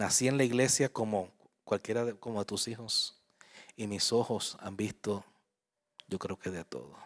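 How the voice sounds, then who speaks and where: A man talks at a moderate pace and fairly low pitch, with ordinary pitch variation. He leaves long, frequent pauses, and the sound is dry and close with no echo. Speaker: pastor. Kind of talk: sermon. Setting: church. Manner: animated; warm, conversational, with frequent audience-directed questions.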